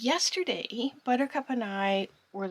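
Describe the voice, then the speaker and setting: The speaker is a woman in a whisper. She keeps a fairly slow pace. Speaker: sailing vlogger. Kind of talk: casual vlog talk to camera. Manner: whispering.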